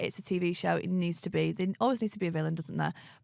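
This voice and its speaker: On a very clean recording with a silent background, a woman speaks at a very fast pace and a medium pitch, with vocal fry. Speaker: reality TV contestant. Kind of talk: casual interview. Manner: loud.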